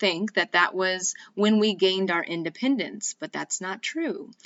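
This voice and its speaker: In an American accent, the speaker talks at a fairly slow pace with ordinary pitch variation. It is an ordinary speaking voice. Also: woman. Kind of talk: podcast intro talk. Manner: casual, friendly.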